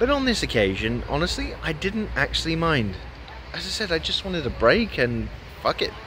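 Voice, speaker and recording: In a dry sound with no echo, a man keeps a moderate pace while noticeable background noise runs underneath. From England. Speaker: gaming YouTuber. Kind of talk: casual vlog monologue. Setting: outdoors on a beach. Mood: relaxed, joking, self-mocking. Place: beach. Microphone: phone near.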